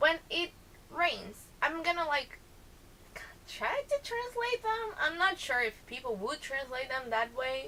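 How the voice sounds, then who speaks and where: A raised, projected voice with a Brazilian accent, very wide pitch swings and a fairly slow pace, over noticeable background noise. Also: woman, extremely high pitch for a woman. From southern Brazil, Porto Alegre. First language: Portuguese. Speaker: vlogger. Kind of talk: casual vlog, accent challenge.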